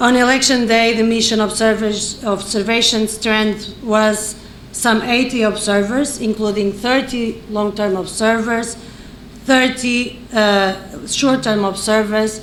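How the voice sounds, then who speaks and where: A woman with a non-native accent speaks fairly slowly in a flat monotone at very even loudness. Noticeable background noise and audible room echo fill the recording. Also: fairly high pitch for a woman. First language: non-English. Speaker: election observation mission head. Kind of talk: press conference statement. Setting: press conference, live streamed. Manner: halting, with fillers; formal.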